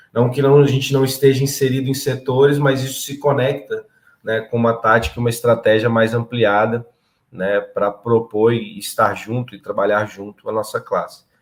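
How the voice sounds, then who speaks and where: Speaking at a moderate pace, a man has an ordinary speaking voice with a medium pitch and fairly even intonation. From interior of São Paulo state, Brazil. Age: 30s. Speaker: political candidate and agronomist. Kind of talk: interview.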